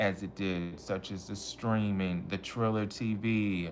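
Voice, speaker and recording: At a fairly slow pace, a man with an American accent talks in a fairly low pitch. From Michigan, US. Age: 20s. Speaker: wrestling vlogger. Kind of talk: casual livestream chat. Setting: hotel room livestream. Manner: animated.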